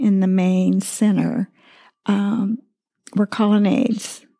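Her tone dark and mellow, a woman with an American accent speaks at a very slow pace with fairly even intonation. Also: very even loudness. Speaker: podcast co-host, widow and former pastor's wife. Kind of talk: devotional talk. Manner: halting, with many fillers.

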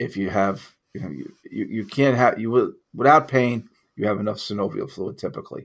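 Speaking at a moderate pace with hardly any pauses, a man uses a medium pitch, ordinary pitch variation and vocal fry. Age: 50s. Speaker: health practitioner podcast host. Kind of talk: educational monologue. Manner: halting, many fillers and restarts.

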